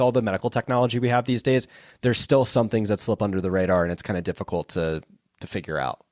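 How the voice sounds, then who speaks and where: In an American accent, a man talks very fast at a medium pitch with lively intonation, on a very clean recording with a silent background and a dry, close sound with no echo. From South Florida. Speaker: podcast host. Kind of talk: interview conversation.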